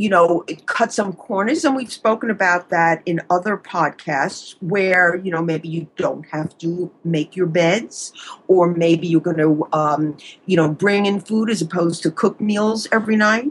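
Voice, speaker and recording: The voice carries a slight New York accent and ordinary pitch variation. It moves at a fairly slow pace with hardly any pauses. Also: woman. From US Northeast, Long Island, New York. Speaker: psychologist, relationship expert. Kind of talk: advice interview.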